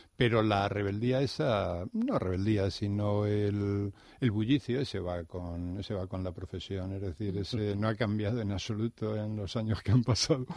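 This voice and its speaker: With a plain, everyday voice, a man speaks at a moderate pace and fairly low pitch, his intonation fairly even and hardly any pauses, against a quiet background. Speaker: teacher. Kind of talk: interview. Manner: formal.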